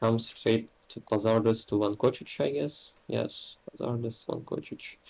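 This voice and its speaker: The pace is fairly slow. A man talks with a non-native accent. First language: not English. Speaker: wargame player. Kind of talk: casual game discussion.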